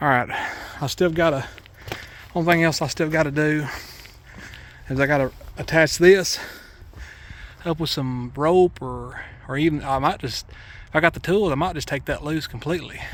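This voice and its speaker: Long, frequent pauses mark this man's speech, delivered at a fairly high pitch with fairly even intonation. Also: moderate pace. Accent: Tennessee. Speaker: YouTube vlogger, motorhome project buyer. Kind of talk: casual vlog narration. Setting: outdoors, parking lot; in a car. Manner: casual, halting with fillers.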